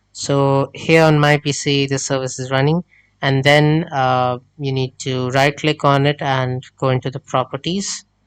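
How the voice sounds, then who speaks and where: A fairly high-pitched male voice with a non-native accent, fairly slow and monotone, with flat intonation. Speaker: tech tutorial creator. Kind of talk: screen-recorded tech tutorial. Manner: hesitant, many filler sounds.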